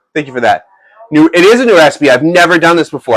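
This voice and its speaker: Captured with dry, close sound and no echo, a man talks at a very fast pace with lively intonation. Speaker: live-streaming cooking show host. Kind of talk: live-stream cooking chat. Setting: live stream in a home kitchen. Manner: loud; casual, halting with fillers.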